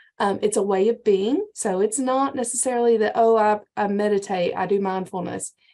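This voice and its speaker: With a Georgia accent, a woman speaks at a fairly high pitch in a dark, mellow tone. She keeps a moderate pace with ordinary pitch variation and hardly any pauses. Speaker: county extension agent, workshop presenter. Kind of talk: lecture.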